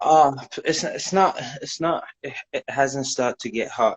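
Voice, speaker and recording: In a British accent, a man talks at a fairly slow pace with ordinary pitch variation. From Iran, born in UK. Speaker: caller. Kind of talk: casual chat.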